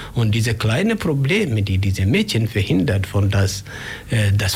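A man's pitch varies in an ordinary way, and the room adds audible echo. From Kenya, Migori County. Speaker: human rights volunteer. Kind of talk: radio interview. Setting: radio studio. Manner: halting.

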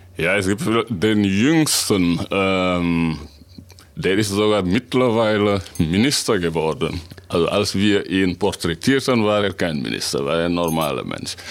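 Through noticeable background noise, a man with a very deep, low pitch speaks at a fairly slow pace with lively intonation. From Senegal. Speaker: author and translator. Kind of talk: radio interview.

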